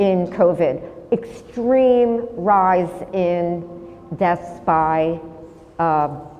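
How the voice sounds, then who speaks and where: A woman's medium-pitched voice with lively intonation, a very slow pace and long, frequent pauses amid noticeable background noise. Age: 60s. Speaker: painter and sculptor. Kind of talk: artist talk Q&A.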